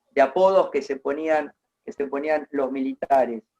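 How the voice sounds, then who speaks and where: The sound of this man's fairly high-pitched voice is dry and close, with no echo. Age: 60s. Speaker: interviewee recounting local history. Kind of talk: oral history interview.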